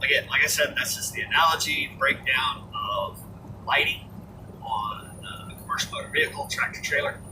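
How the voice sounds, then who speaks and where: With an American accent, a man talks at a moderate pace against noticeable background noise. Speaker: truck driver and gaming channel host. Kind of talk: casual monologue. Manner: over-enunciates words.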